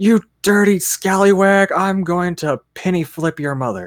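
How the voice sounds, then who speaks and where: A man speaks at a moderate pace in a put-on character voice, pitched high. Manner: mock trash talk.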